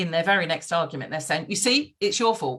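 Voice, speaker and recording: This woman speaks loudly with lively intonation. Her voice sits fairly low in pitch and has a bright, sharp tone. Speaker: podcast guest. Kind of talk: casual conversation. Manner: fast.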